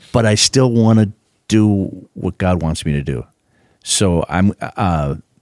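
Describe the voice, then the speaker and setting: This man speaks with an Upper Midwest accent. The sound is dry and close, with no echo. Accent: Upper Midwest American. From Minnesota (Duluth area). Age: 60s. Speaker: pastor. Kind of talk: casual chat.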